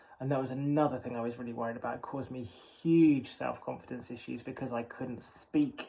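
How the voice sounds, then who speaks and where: In an English accent, a man with a medium pitch talks at a fairly quick pace with hardly any pauses and fairly even intonation, over noticeable background noise. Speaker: vlogger. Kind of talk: personal monologue. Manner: hesitant.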